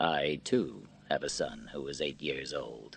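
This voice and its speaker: A put-on character voice at a fairly slow pace. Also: man, very deep, low pitch for a man. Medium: read story. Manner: reserved, quiet.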